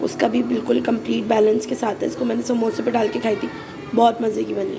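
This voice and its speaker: A woman talks at a moderate pace, her voice carrying audible room echo and noticeable noise behind it. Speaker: vlogger. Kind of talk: casual vlog.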